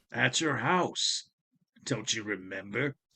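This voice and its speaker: A man puts on a raspy character voice at medium pitch. He speaks at a fairly slow pace with lively intonation. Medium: audio drama. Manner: calm, unhurried, mocking.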